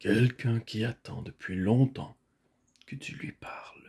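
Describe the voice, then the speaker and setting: Putting on a character voice, a man speaks at a fairly slow pace with a resonant sound, medium pitch and ordinary pitch variation. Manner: calm, not loud.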